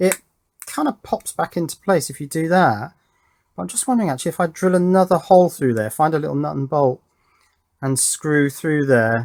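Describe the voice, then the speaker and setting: Dry and close with no echo, this very clean recording with a silent background features a man in an English accent speaking at a fairly quick pace, his fairly high voice full of lively intonation. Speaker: electronics YouTuber. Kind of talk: casual unboxing tutorial. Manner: loud.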